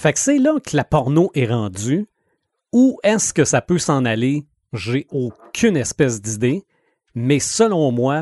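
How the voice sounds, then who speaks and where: A man with a Quebec accent talks very slowly at a fairly high pitch, his pitch swinging very widely. The sound is dry and close with no echo, over a quiet background. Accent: Québécois French. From Quebec, Sherbrooke. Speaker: radio host and podcaster. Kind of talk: casual chat.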